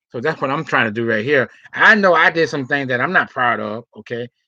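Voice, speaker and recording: With a bright, sharp tone, a man talks at a fairly quick pace in a dry, close sound with no echo and a quiet background. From US South. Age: 40s. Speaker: video blogger. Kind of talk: casual monologue. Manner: animated.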